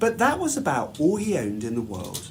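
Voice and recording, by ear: With very wide pitch swings, a man speaks at a high pitch.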